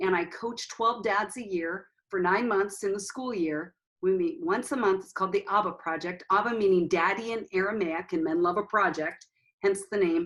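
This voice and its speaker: Using a plain, everyday voice, a woman speaks at a medium pitch and moderate pace with ordinary pitch variation. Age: 60s. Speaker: counselor and author. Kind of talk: interview.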